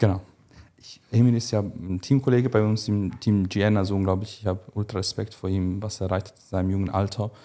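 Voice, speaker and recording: This man talks at a fairly quick pace in a fairly low voice, dark and mellow in tone, with fairly even intonation. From Switzerland. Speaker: bodybuilding coach. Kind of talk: casual chat. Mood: calm, explanatory. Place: studio. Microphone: studio mic.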